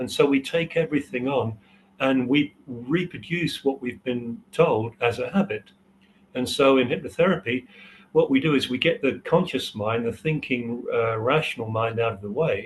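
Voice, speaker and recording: A man of medium pitch speaks at a moderate pace. His voice is somewhat breathy, with ordinary pitch variation. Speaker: hypnotherapy trainer. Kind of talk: interview. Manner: hesitant, many fillers.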